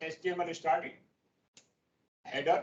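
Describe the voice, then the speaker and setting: A man is talking. His pitch is high. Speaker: professor. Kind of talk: lecture. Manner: fast.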